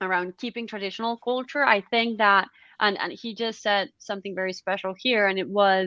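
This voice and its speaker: At a fairly quick pace, a woman with a non-native accent speaks at a medium pitch with fairly even intonation. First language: not English. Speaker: panel moderator. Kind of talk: online panel discussion. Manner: halting, many fillers and restarts.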